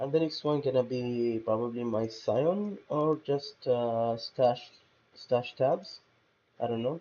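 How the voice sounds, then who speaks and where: Speaking with a non-native accent, a man moves at a very slow pace with long, frequent pauses and ordinary pitch variation. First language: not English. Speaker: gaming YouTuber. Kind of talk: gameplay gear walkthrough, casual. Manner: hesitant, many fillers.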